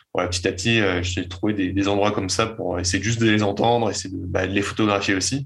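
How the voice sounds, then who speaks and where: A man speaks fairly quickly in a fairly low, somewhat breathy voice. His intonation is monotone and flat. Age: 20s. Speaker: night landscape photographer. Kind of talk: interview. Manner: halting, frequent repetitions.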